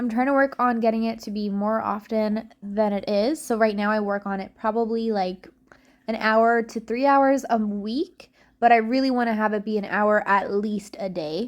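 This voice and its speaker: In a very clean recording with a silent background, a woman with a fairly high pitch speaks at a moderate pace in a plain, everyday voice. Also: fairly even intonation. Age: 20s. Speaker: reseller and content creator. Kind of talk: casual work-along vlog. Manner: casual, filler-heavy.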